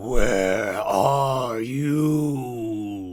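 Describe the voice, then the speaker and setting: A gruff, loud, put-on character voice comes through with ordinary pitch variation. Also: man, medium pitch for a man. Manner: angry.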